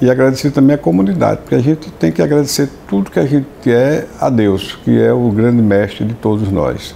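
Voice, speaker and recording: Against noticeable background noise, a man at a medium pitch talks with lively intonation, very even loudness and hardly any pauses. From Sergipe, Brazil. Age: 70s. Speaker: judge. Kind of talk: interview. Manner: halting, many repetitions and fillers.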